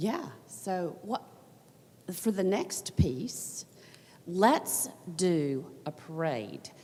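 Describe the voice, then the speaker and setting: In a Southern US accent, a woman speaks at a very slow pace with long, frequent pauses, a fairly low pitch and lively intonation. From US South. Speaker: workshop presenter. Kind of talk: conference workshop.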